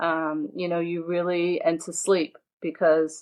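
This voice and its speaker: The speaker is a woman with a fairly low pitch. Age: 60s. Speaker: entrepreneur and philanthropist. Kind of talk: interview. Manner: hesitant, many fillers.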